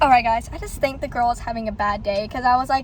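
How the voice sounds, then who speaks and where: A woman talks at a very fast pace. Noticeable background noise sits under her voice. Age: young. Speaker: vlogger. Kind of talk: casual vlog. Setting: in a car.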